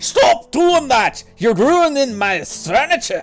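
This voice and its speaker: Someone talks in a put-on character voice at a fairly slow pace. Faint music plays in the background. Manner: grumpy, irritated.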